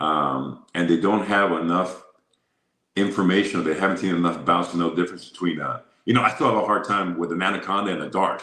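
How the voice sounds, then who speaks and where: Speaking at a very fast pace, a man has a very deep, low voice with a bright, sharp tone. His intonation stays fairly even. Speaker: boxing and MMA ring announcer, former radio host. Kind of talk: interview answer.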